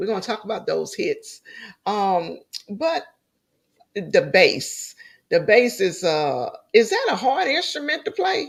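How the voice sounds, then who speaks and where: This woman has a slight Louisiana accent. She talks at a very slow pace, with long, frequent pauses. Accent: slight country Louisiana. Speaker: talk show host. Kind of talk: interview. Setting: livestream. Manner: deliberately slowed speech.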